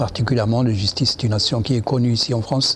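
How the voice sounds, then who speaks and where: Noticeable background noise accompanies a man whose medium-pitched voice has fairly even intonation. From Morocco. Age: 70s. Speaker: immigrant rights activist. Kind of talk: interview. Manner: halting.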